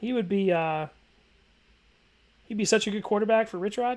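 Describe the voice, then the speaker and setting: Lively in intonation, a man talks at a fairly quick pace and a high pitch. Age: 20s. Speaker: college football streamer. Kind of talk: live stream chat reading viewer comments. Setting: live stream. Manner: casual, conversational. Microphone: new boom mic.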